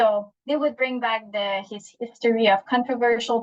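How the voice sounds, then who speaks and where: A woman's voice in a Quebec accent, with monotone, flat intonation. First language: French. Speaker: psychologist and webinar speaker. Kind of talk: webinar presentation. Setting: online webinar. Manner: halting, many fillers and restarts.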